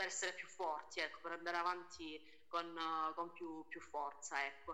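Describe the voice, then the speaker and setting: A bright, sharp tone carries speech delivered at a moderate pace. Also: woman. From Calabria, Italy. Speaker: singer. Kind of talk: casual interview chat.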